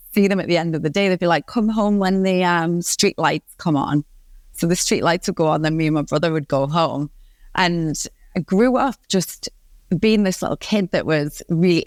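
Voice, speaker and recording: In a Geordie accent, a woman speaks at a moderate pace and fairly low pitch with ordinary pitch variation and very even loudness, the recording very clean, silent in the background, and dry and close with no echo. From northeast England, Newcastle upon Tyne. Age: 30s. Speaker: positive psychologist and coach. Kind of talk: podcast interview.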